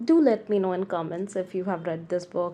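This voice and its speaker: A woman with a non-native accent speaks in a dark, mellow tone against a quiet background. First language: not English. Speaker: book reviewer. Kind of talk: casual book review monologue. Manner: halting, many restarts.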